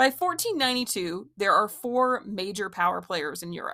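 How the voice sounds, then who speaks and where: On a very clean recording with a silent background, a woman talks at a moderate pace with a medium pitch, a bright, sharp tone and vocal fry. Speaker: history teacher. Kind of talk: sarcastic history podcast lecture. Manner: sarcastic.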